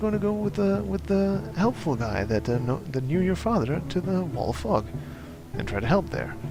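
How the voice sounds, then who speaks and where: With music in the background and audible room echo, a man with an American accent speaks at a moderate pace using very wide pitch swings. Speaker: video game streamer. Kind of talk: let's play commentary. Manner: halting, many fillers.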